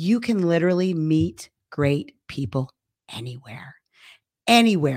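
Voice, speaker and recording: Loud and at a fairly slow pace, a woman speaks in a very deep, low pitch with very wide pitch swings and long, frequent pauses. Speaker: addiction program co-founder, podcast host. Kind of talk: casual chat.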